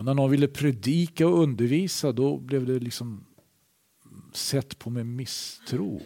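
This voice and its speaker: Using a normal speaking voice, a man talks at a fairly slow pace with a medium pitch and ordinary pitch variation. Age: 60s. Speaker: preacher. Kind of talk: sermon.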